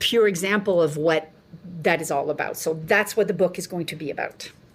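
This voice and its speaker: A woman speaks with a French accent. Her pitch variation is ordinary. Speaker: nutritionist and author. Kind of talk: interview.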